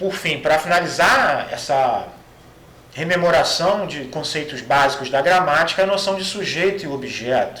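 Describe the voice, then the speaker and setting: Over noticeable background noise and audible room echo, a man with a high pitch speaks fairly slowly with ordinary pitch variation. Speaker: Greek language professor. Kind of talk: lecture. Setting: recorded online class video. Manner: halting, many fillers.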